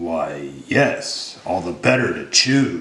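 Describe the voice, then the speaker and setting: A male speaker uses a put-on character voice and talks at a very slow pace. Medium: read story.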